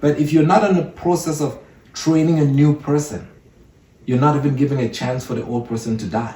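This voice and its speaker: A dark, mellow, somewhat breathy voice in an African accent with ordinary pitch variation. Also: man, fairly high pitch for a man, fairly quick pace. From Cameroon. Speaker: entrepreneur. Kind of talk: podcast interview.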